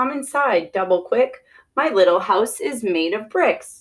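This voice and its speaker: Using a put-on character voice with a cheerful tone, a woman speaks at a fairly slow pace with a fairly high pitch. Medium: read story. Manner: cheerful, rhyming.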